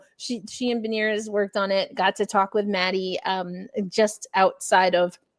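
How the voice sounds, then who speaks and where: With an American accent, a woman talks in a very clean recording over a silent background. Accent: New York, comes out at times. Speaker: sports journalist and podcast host. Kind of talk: casual sports podcast chat. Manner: animated.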